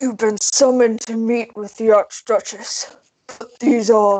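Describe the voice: A gruff, put-on character voice at a fairly slow pace. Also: female-sounding voice, fairly high pitch for a woman.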